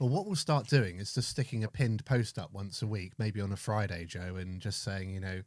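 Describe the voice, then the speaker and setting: Recorded very cleanly against a silent background, a man with an English accent talks at a fairly quick pace with hardly any pauses, his fairly low voice showing ordinary pitch variation. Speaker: live stream host for metal detecting. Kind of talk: casual live stream chat. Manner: soft-spoken.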